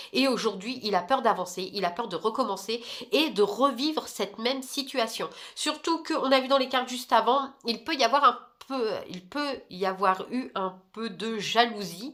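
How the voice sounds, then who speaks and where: Her tone bright and sharp, a woman speaks at a fairly slow pace in a fairly high pitch with lively intonation. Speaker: tarot card reader. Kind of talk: tarot reading monologue. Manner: hesitant, many fillers.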